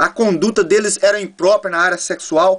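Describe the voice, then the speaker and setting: A man's voice, high in pitch. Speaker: preacher. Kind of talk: sermon. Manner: fast.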